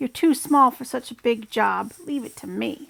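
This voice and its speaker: In a whiny, put-on character voice, a woman talks at a moderate pace with a high pitch. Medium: read story.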